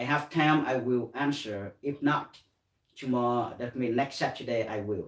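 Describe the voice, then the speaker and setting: A man with a Vietnamese accent, medium pitch, fairly even intonation and a moderate pace. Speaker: meditation teacher. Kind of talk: guided meditation. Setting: live stream. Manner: halting.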